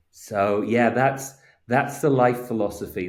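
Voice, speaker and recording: The room echo is audible around a man. His intonation stays fairly even. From England (working-class area). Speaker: advertising strategist. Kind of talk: casual interview chat. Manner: halting, repeats words.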